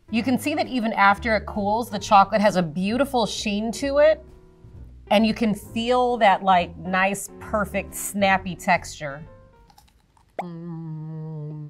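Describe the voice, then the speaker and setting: Faint music plays in the background. A woman talks at a fairly slow pace. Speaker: presenter. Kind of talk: tutorial. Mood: warm, enthusiastic. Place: studio.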